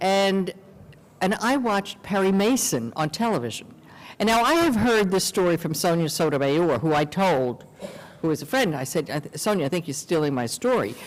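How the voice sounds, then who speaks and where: At a moderate pace, a woman with a fairly low pitch moves through very wide pitch swings. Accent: New York. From New York City, Queens. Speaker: lawyer. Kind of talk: interview conversation.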